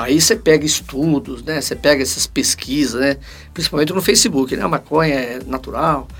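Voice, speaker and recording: There is noticeable background noise as a man with a fairly high pitch speaks at a moderate pace with lively intonation. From Paraná, Brazil. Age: 60s. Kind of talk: casual interview.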